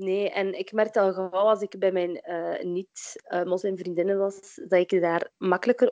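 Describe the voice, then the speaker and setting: In a dry, close recording with no echo, a woman speaks at a moderate pace in a medium pitch. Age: 20s. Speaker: midwife and workshop founder. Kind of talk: interview. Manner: hesitant, many filler sounds.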